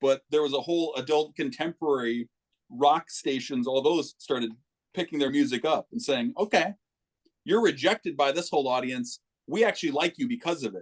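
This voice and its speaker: A man with an American accent speaks in an unremarkable speaking voice, his fairly high pitch carried by lively intonation at a fairly quick pace, the sound dry and close with no echo. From Minneapolis, Minnesota. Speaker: musician. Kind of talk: casual chat.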